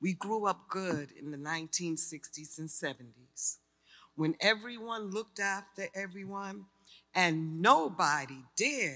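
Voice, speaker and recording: A woman with a New York accent speaks fairly slowly, her pitch fairly low and her tone bright and sharp. Her intonation is lively, her loudness swings widely, and the background is quiet. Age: 60s. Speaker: artist and community advocate. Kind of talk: personal testimony speech. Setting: stage with audience. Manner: animated. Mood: personal, earnest storytelling. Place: hall. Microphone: podium.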